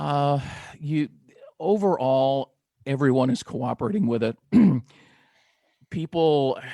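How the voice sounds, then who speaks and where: Fairly high male voice with an American accent, ordinary pitch variation and long, frequent pauses, dry and close with no echo. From Southern California. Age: 60s. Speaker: talk radio podcast host. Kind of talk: casual interview chat.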